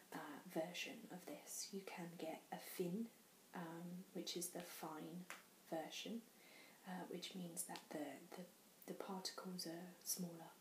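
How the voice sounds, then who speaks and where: Soft-spoken, a woman with a British accent talks at a very slow pace with a fairly low pitch and fairly even intonation. Noticeable background noise runs underneath. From England. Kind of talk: ASMR show and tell. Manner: soft-spoken, quiet.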